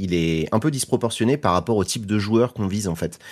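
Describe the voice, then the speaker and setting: With a plain, everyday voice, a man speaks at a fairly quick pace in a fairly low pitch, his intonation lively, over a quiet background. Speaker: YouTube content creator. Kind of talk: casual radio interview.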